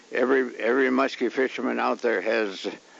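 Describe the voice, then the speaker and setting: There is noticeable background noise as a man speaks. He keeps a moderate pace at a medium pitch. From Ontario, Canada. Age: 80s+. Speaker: fishing guide. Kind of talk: film narration. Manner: halting.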